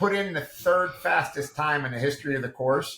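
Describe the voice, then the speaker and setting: A man's bright, sharp voice, fairly high in pitch, with ordinary pitch variation and a moderate pace. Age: 60s. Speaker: integrative medicine practitioner and supplement developer. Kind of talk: podcast interview. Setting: video call. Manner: animated.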